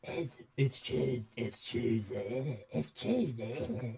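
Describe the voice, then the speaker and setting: Using a put-on character voice, a man at medium pitch talks at a fairly slow pace. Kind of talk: rough, colloquial.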